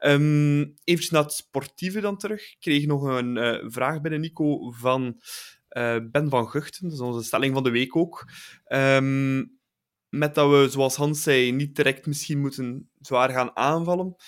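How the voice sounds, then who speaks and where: Here a man has an unremarkable speaking voice, fairly high in pitch with ordinary pitch variation. He speaks at a fairly slow pace on a very clean recording with a silent background. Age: 20s. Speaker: football podcast host. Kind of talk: casual chat.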